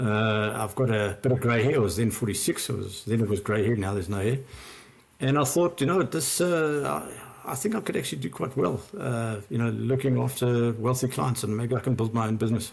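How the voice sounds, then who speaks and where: At a fairly quick pace, a man speaks in a somewhat breathy, medium-pitched voice with ordinary pitch variation. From South Africa, Johannesburg. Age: 60s. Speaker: former investment banker turned wealth adviser. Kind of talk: podcast interview.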